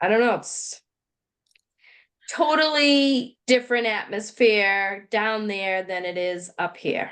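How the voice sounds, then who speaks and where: The delivery is very slow, with a strong Boston accent. The background is quiet. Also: woman, fairly high pitch for a woman, lively intonation. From Boston area. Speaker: podcast co-host. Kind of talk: casual chat.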